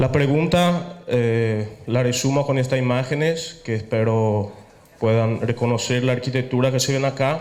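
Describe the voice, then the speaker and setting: A man with a Paraguayan accent speaks fairly slowly at a medium pitch, with ordinary pitch variation and very even loudness. Audible room echo and noticeable background noise fill the recording. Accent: Paraguayan Spanish lilt. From Italy, Venice. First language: Italian (speaking Spanish). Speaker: architect, lecturer. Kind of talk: lecture. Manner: hesitant, with fillers.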